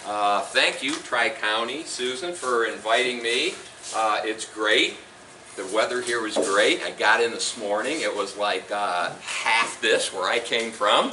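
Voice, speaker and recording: Over noticeable background noise and audible room echo, a man talks at a fairly slow pace with a medium pitch and ordinary pitch variation. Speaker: company representative presenting on retirement accounts. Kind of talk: seminar presentation. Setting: meeting room with live audience, no microphone. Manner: loud.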